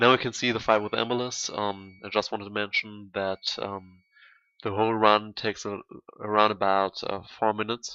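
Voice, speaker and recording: Someone with a German accent speaks at a moderate pace. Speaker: gaming YouTuber. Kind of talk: gameplay tutorial commentary. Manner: halting, many fillers.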